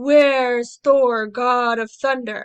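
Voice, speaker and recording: A woman performs a put-on character voice at a high pitch. Her intonation is monotone and flat. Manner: loud, hearty, calling out across a room.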